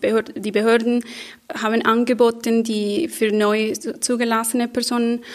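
In a non-native accent, a woman speaks at a fairly high pitch. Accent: foreign accent in German. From Colombia. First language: Spanish (speaking German). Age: 30s. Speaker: social worker. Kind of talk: panel discussion. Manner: halting, searching for words.

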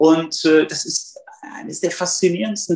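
A man with a high-pitched voice talks at a fairly slow pace. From northern Hesse, Germany. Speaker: journalist and nonfiction author. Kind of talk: interview. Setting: remote call.

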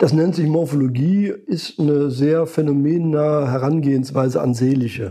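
In a Lower Rhine accent, the speaker's dark, mellow voice runs on with hardly any pauses, very even loudness and ordinary pitch variation. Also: man, moderate pace. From Lower Rhine, western Germany. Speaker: psychologist and market researcher. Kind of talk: interview. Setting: in person at his institute in Cologne. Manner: intonation falling at the end of sentences.

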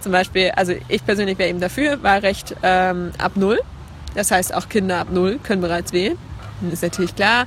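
A woman's voice carries vocal fry and fairly even intonation at a moderate pace. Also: medium pitch for a woman. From Leipzig, Saxony, eastern Germany. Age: young. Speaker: climate activist. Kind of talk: interview. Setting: at a congress, filmed on camera.

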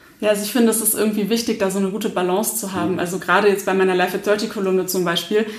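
A woman's voice amid noticeable background noise, with audible room echo. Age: 30s. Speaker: blogger and stress management trainer. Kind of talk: casual interview.

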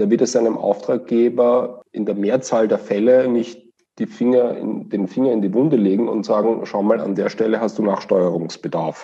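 With a Viennese accent, a man talks at medium pitch with ordinary pitch variation. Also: moderate pace, hardly any pauses. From Austria, Vienna. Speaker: management consultant. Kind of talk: interview.

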